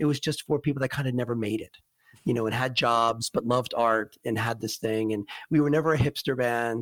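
In a very clean recording with a silent background and a dry, close sound with no echo, a man speaks at medium pitch with ordinary pitch variation in a plain, everyday voice. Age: 50s. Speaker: singer-songwriter and guitarist. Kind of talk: interview.

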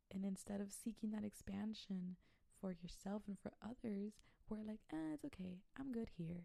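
Speaking with an American accent, a woman uses a dark, mellow, somewhat breathy voice of medium pitch at a moderate pace and very even loudness. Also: ordinary pitch variation. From Texas, Brownsville. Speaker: podcast host, spiritual wellness coach. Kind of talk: casual solo podcast monologue. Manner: casual, conversational.

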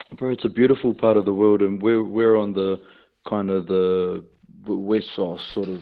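A man speaks with a New Zealand accent at a moderate pace. His fairly low voice has monotone, flat intonation. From New Zealand, Hamilton (Waikato). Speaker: professional rugby player. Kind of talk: radio interview, casual.

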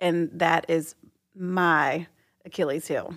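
Heard on a very clean recording against a silent background, a woman's fairly low voice carries an American accent. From Texas. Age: 40s. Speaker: host's wife. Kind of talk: casual chat.

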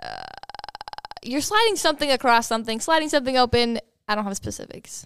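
A woman with an American accent talks very fast in a high voice, her intonation lively, her loudness swinging widely and her pauses long and frequent. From Minnesota. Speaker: podcast guest.

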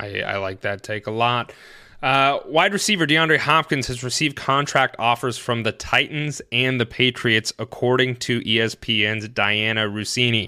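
A man speaks at a medium pitch with a bright, sharp tone and ordinary pitch variation. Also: fairly slow pace, very clean recording, silent background. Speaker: fantasy football podcast host. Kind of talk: casual chat.

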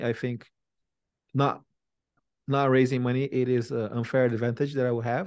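A man speaks with a Brazilian accent at medium pitch and with fairly even intonation. He leaves long, frequent pauses. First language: Portuguese. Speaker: tech company CEO and founder. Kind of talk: interview conversation. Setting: video call.

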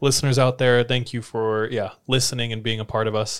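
A man speaks in a plain, everyday voice of medium pitch at a moderate pace. The recording is very clean with a silent background. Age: 30s. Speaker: podcast co-host. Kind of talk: casual chat.

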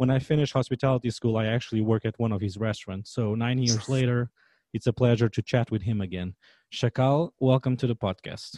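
A man with a Portuguese accent and a dark, mellow tone, speaking at a fairly quick pace with fairly even intonation over a quiet background. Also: medium pitch for a man. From Portugal. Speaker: podcast host, chef. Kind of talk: interview.

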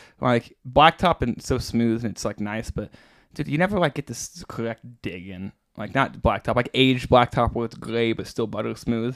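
A man with an American accent uses a normal speaking voice at a medium pitch, with ordinary pitch variation and a moderate pace. The sound is dry and close with no echo, on a very clean recording with a silent background. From US Midwest, Branson, Missouri. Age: 20s. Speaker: pro downhill skateboarder. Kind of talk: casual chat.

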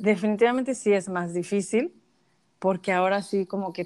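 A woman with a Mexican accent speaks at a medium pitch with fairly even intonation and long, frequent pauses. The sound is dry and close with no echo, over a quiet background. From Mexico. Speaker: social media influencer. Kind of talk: interview.

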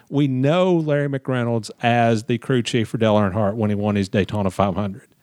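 A Southern US accent at a moderate pace with very even loudness. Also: man, medium pitch for a man, ordinary pitch variation, dry, close sound with no echo. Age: 50s. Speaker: podcast host, motorsports journalist. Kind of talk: casual interview chat.

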